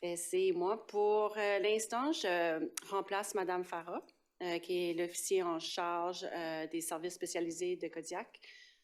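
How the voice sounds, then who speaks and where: With an Acadian accent, the speaker talks at a very slow pace and fairly even intonation on a very clean recording with a silent background. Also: woman, fairly low pitch for a woman. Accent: Acadian French accent, noticeable. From northeastern New Brunswick (Acadian), Paquetville. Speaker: police sergeant. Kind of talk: council meeting report. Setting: municipal council meeting. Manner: halting, many hesitations.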